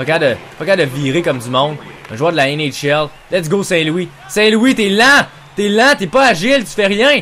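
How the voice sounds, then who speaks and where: A man speaks in a high pitch with a Quebec accent, his pitch swinging very widely over noticeable background noise. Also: moderate pace. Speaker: gaming YouTuber. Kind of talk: live sports-style game commentary while playing NHL video game. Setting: home recording, gameplay video voiceover. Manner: excitable, shouting, loud, swearing; animated, reacts loudly to every play.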